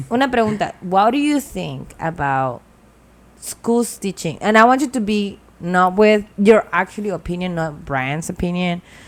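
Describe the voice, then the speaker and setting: Very wide pitch swings mark a woman's medium-pitched voice at a moderate pace. The recording is very clean with a silent background. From El Salvador. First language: Spanish. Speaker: podcast co-host. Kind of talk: casual chat.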